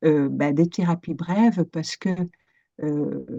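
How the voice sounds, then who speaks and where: Very slow and dark, mellow in tone, the voice carries a Dutch accent with ordinary pitch variation, recorded dry and close with no echo against a quiet background. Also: woman. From Netherlands. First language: Dutch (speaking French). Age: 50s. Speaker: coach and psychotherapist. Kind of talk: interview. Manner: hesitant, many fillers.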